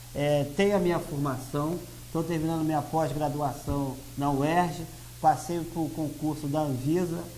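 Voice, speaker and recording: Noticeable background noise and audible room echo surround a man with a fairly high voice who speaks fairly slowly with fairly even intonation. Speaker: lawyer and party president. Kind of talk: TV interview.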